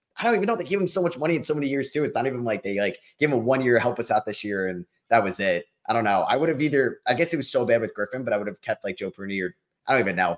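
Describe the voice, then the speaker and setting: With an American accent, a man talks very fast at a medium pitch with lively intonation against a quiet background. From New York. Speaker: YouTuber. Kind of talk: casual chat.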